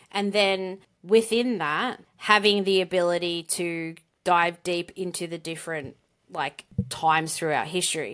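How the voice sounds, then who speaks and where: On a very clean recording with a silent background, a woman with an Australian accent speaks at a fairly slow pace and fairly low pitch, with ordinary pitch variation. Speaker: podcast co-host. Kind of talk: casual conversational podcast discussion.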